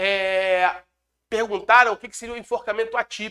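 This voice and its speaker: A man projects a raised voice at a high pitch, his tone bright and sharp and his intonation fairly even. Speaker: law exam lecturer and police chief. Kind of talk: lecture. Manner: fast.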